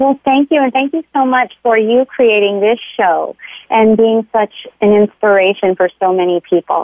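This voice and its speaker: Here a woman with a plain, everyday voice talks at a moderate pace, her fairly high pitch showing ordinary variation. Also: very even loudness. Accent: American. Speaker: occupational therapist and health coach. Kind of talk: interview conversation. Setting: phone call.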